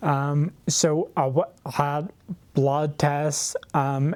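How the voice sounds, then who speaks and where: The speaker talks with monotone, flat intonation in a Derry accent. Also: man, very clean recording, silent background. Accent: Northern Irish (Derry). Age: 20s. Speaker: person living with a rare neurological condition. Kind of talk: personal testimony. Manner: hesitant, many fillers.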